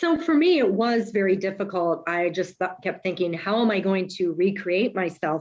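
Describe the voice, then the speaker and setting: A woman with an ordinary speaking voice, medium pitch and ordinary pitch variation, at a moderate pace with hardly any pauses. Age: 50s. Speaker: coaching client sharing breakup story. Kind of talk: group video call discussion.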